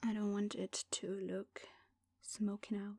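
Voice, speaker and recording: Soft-spoken and somewhat breathy, a woman talks in a flat monotone at a medium pitch with a dark, mellow tone, her voice dry and close with no echo. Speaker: ASMR creator. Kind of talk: ASMR makeup tutorial talk to camera.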